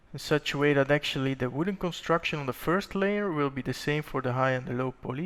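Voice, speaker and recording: A man talks at a fairly quick pace with ordinary pitch variation in an ordinary speaking voice. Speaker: 3D modelling instructor. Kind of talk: tutorial.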